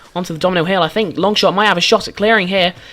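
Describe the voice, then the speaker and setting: The tone is animated. Music plays in the background. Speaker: game show commentator. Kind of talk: live commentary.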